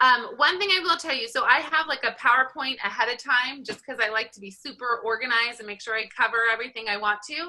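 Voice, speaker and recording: Spoken at a very fast pace in an American accent, this voice has ordinary pitch variation and big swings in loudness over noticeable background noise. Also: woman, high pitch for a woman. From Southern California. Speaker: college statistics instructor. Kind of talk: online class lecture. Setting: video call.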